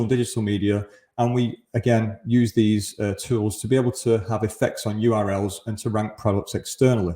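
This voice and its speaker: A somewhat breathy, dark, mellow voice in a Mancunian accent, at a fairly quick pace with hardly any pauses. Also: man. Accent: Mancunian (northern English). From Greater Manchester, northern England. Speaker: conference speaker, e-commerce agency founder. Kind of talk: conference presentation. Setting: remote presentation to live event.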